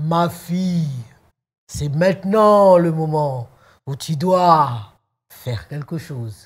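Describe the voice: A booming, put-on character voice at a middle pitch, very slow with long, frequent pauses, on a very clean recording with a silent background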